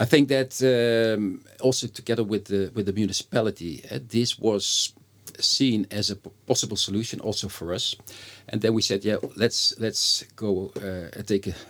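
At a moderate pace, a man with a Dutch accent talks in a fairly low pitch with ordinary pitch variation. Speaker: company CEO. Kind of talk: interview conversation.

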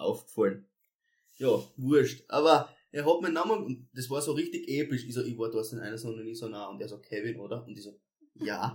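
A man speaks at a fairly quick pace in a somewhat breathy voice. His loudness swings widely. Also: medium pitch for a man, ordinary pitch variation. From Austria, Styria (Kapfenberg). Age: 20s. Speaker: singer. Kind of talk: casual chat.

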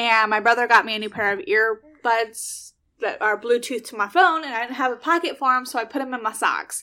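A woman speaks at a fairly quick pace with hardly any pauses, in a high pitch with a bright, sharp tone. Her pitch variation is ordinary, her loudness swings widely, and the recording is very clean with a silent background. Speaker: podcast host. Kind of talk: casual chat.

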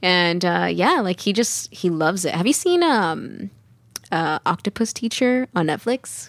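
Woman with a normal speaking voice, medium pitch, lively intonation, very even loudness and a fairly slow pace, in a dry, close sound with no echo. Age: 20s. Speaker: domestic abuse survivor and mother. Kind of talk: casual interview.

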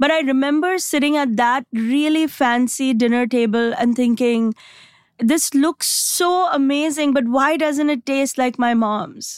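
Her loudness stays very even as a woman speaks at a high pitch. She goes at a fairly slow pace with ordinary pitch variation. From Mumbai, India. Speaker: stand-up comedian. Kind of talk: casual interview chat, humorous. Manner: animated, humorous.

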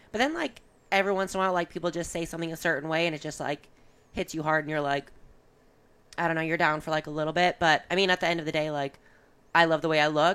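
With an American accent, a woman talks in a very deep, low pitch and monotone, flat intonation, recorded very cleanly against a silent background. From Michigan, Ann Arbor. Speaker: competitive CrossFit athlete. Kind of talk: casual interview chat. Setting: in person, Columbus.

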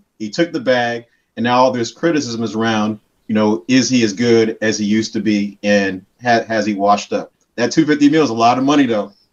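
He has a normal speaking voice at a medium pitch with ordinary pitch variation. This man talks at a fairly quick pace. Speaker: caller, show member. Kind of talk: casual call-in.

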